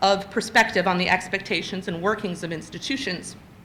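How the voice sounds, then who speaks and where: A woman's medium-pitched voice at a moderate pace, with audible room echo. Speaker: invited lecturer, children's literature scholar. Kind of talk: lecture.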